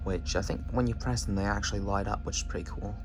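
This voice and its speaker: A man's voice with audible room echo and music in the background. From Scotland, Edinburgh. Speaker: bus enthusiast video presenter. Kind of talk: casual vlog review. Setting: on a moving bus. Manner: casual, filler-heavy.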